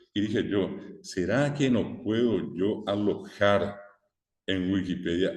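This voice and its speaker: Lively intonation from a man with a fairly low pitch, plus audible room echo. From Paraguay. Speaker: teacher. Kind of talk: lecture.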